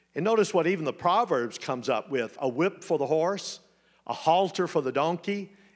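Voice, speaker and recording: A man speaks with a Texan accent in a very clean recording with a silent background. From Texas. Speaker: preacher. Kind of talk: sermon. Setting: church.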